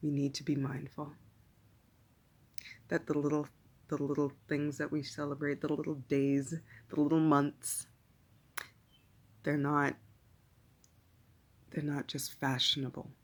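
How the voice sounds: Monotone, flat intonation at a fairly slow pace, with a slightly husky edge and long, frequent pauses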